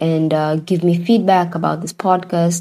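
A woman's fairly low, dark and mellow voice at a moderate pace. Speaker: podcast host. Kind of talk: personal reflection monologue. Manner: hesitant, many fillers.

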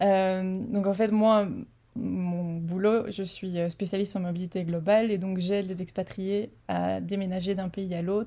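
Her voice is medium-pitched, dark and mellow in tone. The woman speaks fairly slowly in a monotone, flat intonation. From Belgium. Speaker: global mobility specialist. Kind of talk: interview.

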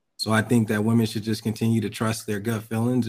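A man's very fast, monotone, flat speech at a medium pitch. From Denver, Colorado. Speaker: podcast guest. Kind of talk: casual chat.

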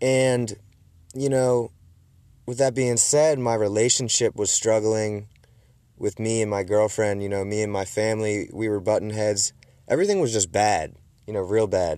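Pausing long and often, a man speaks with a fairly low pitch and a dark, mellow tone. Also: ordinary pitch variation, moderate pace. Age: 20s. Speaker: podcast host and woodworker. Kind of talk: casual monologue. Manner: animated.

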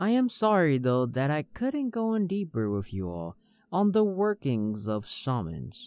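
Pitch swings very widely as a man talks. His pace is fairly slow. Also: fairly high pitch for a man. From Hmong American. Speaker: storytelling podcaster. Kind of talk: scripted narration. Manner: theatrical persona.

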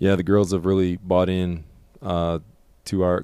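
At a moderate pace, a man speaks low in a dark, mellow, clear and smooth tone with monotone, flat intonation.

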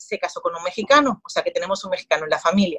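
A somewhat breathy woman's voice with ordinary pitch variation and a dry, close sound with no echo. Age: 30s. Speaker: marketing agency founder. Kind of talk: interview.

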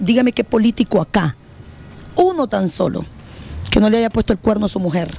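With lively intonation and a fairly high pitch, a woman talks against noticeable background noise. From Honduras, El Paraíso (Trojes). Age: 30s. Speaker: politician, party leader. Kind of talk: interview.

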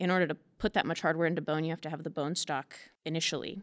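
A woman with an American accent speaks in a very deep, low voice with vocal fry. Her pitch moves up and down in an ordinary way. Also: very clean recording, silent background. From Kansas, US. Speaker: strength coach. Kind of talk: casual interview.

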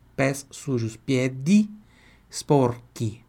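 Man, fairly high pitch, ordinary pitch variation. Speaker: Italian language teacher. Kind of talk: online language lesson. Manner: repeats phrases slowly for learners.

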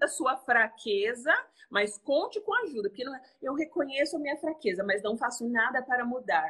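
A woman with a high pitch projects her raised voice with lively intonation. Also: moderate pace. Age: 30s. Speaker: entrepreneur and mother. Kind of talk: casual chat.

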